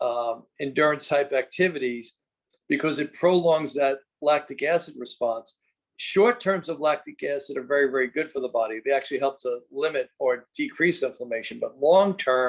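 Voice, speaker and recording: A man speaks at a fairly high pitch. His pitch varies in an ordinary way. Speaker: fitness and nutrition coach. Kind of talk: informational presentation on a group call. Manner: fast.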